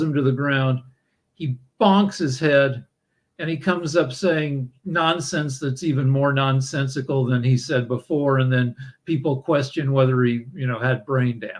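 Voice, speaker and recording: A man with an American accent speaks at a fairly slow pace. His voice is fairly high and somewhat breathy. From US Midwest, Missouri. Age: 60s. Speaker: podcast host. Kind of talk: casual chat. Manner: halting, many fillers and repetitions.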